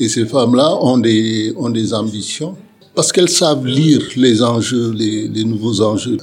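A man at a medium pitch and a fairly slow pace, with ordinary pitch variation, audible room echo and music in the background. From Senegal. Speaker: sociologist. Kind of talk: interview. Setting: bar. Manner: halting, many repetitions.

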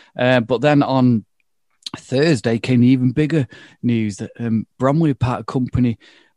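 A man's dark, mellow voice at a medium pitch, with an English accent, fairly even intonation and a quiet background. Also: dry, close sound with no echo. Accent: regional English accent (drops h). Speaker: football podcast host. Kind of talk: casual chat.

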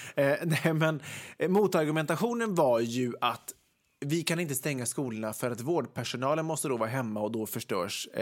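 A man talks in a normal speaking voice, fairly high in pitch, at a moderate pace with lively intonation. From Västergötland, Sweden (Ulricehamn area). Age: 30s. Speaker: podcast co-host. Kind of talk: casual chat.

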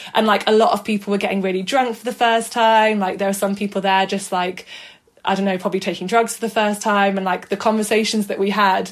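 A woman speaks very fast in a Mancunian accent, her medium-pitched voice monotone and flat. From northern England, South Manchester. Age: 20s. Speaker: photographer. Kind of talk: casual interview.

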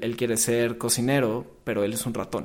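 This man has an unremarkable speaking voice. His pitch is medium and his pace moderate. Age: 20s. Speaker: film marketing professional. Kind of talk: casual chat.

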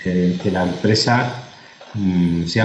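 A man talks with ordinary pitch variation. Room echo is audible, and background noise is noticeable. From Spain, Murcia. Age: 40s. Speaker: food company executive. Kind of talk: interview. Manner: halting.

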